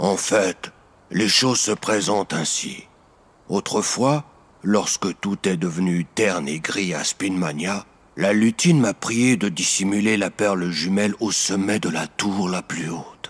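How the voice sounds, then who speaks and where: A man puts on a character voice with a fairly low pitch. He speaks at a fairly slow pace. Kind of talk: children's audiobook character voice. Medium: read story. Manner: cautious, earnest.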